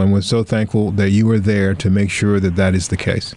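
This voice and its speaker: Over noticeable background noise, a man with an American accent talks in a fairly low voice. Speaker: radio reporter and podcast host. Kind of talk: narrated news feature and interview.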